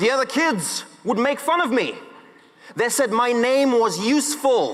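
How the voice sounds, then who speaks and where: Over noticeable background noise and audible room echo, a man talks fairly slowly with lively intonation and an extremely high pitch. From Zimbabwe. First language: Shona. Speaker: public speaker. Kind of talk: speech. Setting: stage with audience.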